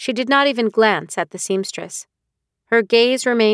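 Quiet background behind a natural reading voice

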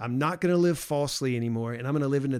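An unremarkable speaking voice from a man with an American accent, fairly high in pitch with lively intonation, on a very clean recording with a silent background. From US South. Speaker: podcast host. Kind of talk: casual theological discussion.

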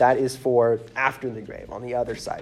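Noticeable background noise accompanies a fairly quick delivery. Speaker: lay preacher. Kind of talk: sermon.

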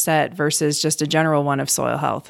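A woman with an American accent speaks at a very deep, low pitch. The recording is very clean, with a silent background. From Cleveland, Ohio. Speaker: soil health extension specialist. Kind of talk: interview. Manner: casual.

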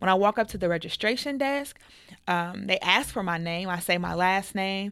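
A woman's medium-pitched voice, a normal speaking voice, with an American accent, lively intonation and a moderate pace, in a very clean recording with a silent background. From United States. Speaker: podcast host. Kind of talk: casual chat.

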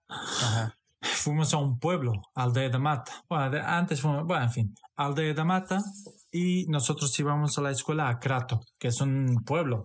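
The speech has ordinary pitch variation, a fairly slow pace and very even loudness, with music in the background. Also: man, fairly high pitch for a man. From Portugal, Romanian-born. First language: Romanian and Hungarian (speaking Spanish). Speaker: former hospitality worker. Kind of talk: casual chat.

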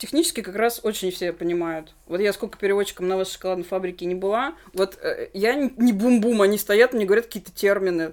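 Hardly pausing, a woman talks at a fairly quick pace at a medium pitch with ordinary pitch variation. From Russia, Nizhny Novgorod. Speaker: English teacher. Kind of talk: casual chat. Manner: stumbling over words.

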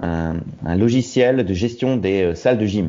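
Noticeable background noise sits behind a man whose fairly low voice moves at a very slow pace. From Roubaix, northern France. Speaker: expatriate correspondent. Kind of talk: interview. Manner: halting.

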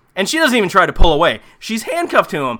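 A man's raised, projected voice with a bright, sharp tone comes at a very fast pace. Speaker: solo horror movie review podcaster. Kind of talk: solo comedic movie recap.

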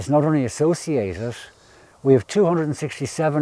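A man with an Irish accent, lively intonation and a dark, mellow tone. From northern Ireland. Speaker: ecologist guide. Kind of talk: guided nature walk. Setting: outdoors.

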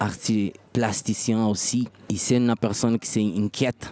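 The speaker has a Portuguese accent and talks at a very slow pace. The intonation stays monotone and flat. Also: man. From Brazil. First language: Portuguese (speaking French). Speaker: musician. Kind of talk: interview. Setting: festival venue. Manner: halting.

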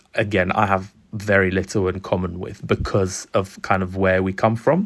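Here a man has an ordinary speaking voice, pitched fairly low with fairly even intonation. The recording is very clean, with a silent background. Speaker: graduate entry medical student.

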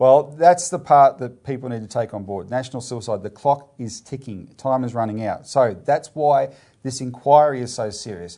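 Barely pausing, a man with an Australian accent speaks at a medium pitch in a dark, mellow tone. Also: ordinary pitch variation, moderate pace, big swings in loudness. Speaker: political party show presenter. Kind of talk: casual current-affairs discussion. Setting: video show.

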